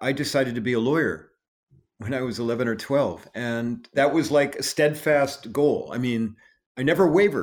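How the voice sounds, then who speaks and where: Speaking in a normal speaking voice with an American accent, a man keeps a moderate pace, medium pitch and lively intonation. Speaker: trial lawyer and inclusion speaker. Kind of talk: interview.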